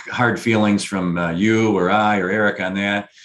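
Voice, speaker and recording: Noticeable background noise sits under a man with an American accent. His fairly low voice is monotone, with flat intonation. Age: 40s. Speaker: video show host. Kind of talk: casual chat. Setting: video call.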